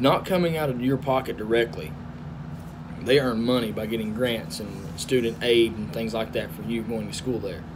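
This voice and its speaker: With a strong Southern US accent, a man talks at a medium pitch and a moderate pace, his intonation lively. The recording carries audible room echo and noticeable background noise. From US South. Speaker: truck driver. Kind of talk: casual vlog talk.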